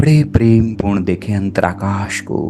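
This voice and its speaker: A man with a fairly low pitch, with music in the background. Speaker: spiritual healer and meditation guide. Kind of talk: guided meditation. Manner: slow, calm, soothing.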